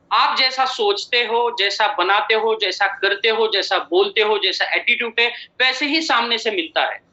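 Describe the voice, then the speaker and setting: With hardly any pauses, a man talks in a high pitch at very even loudness and with ordinary pitch variation. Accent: Marathi. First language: Marathi (speaking Hindi). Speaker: company chairman and MD. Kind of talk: motivational business presentation.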